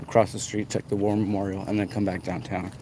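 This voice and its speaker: Against noticeable background noise, a man mumbles. He speaks with an American accent. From Arizona, US. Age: 30s. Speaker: livestreamer. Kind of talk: walking livestream commentary. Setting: outdoors, walking downtown at night. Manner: mumbling.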